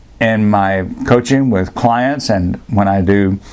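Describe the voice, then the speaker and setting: A man talks very slowly, his pitch varying in an ordinary way, while noticeable background noise carries on. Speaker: speech coach. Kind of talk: casual talk to camera. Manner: conversational.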